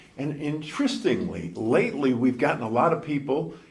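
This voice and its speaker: Audible room echo surrounds a man talking at a moderate pace. He speaks with lively intonation. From northern US. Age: 70s. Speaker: former TV news anchor, recovering alcoholic. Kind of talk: recovery speaker talk. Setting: convention stage with audience. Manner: conversational.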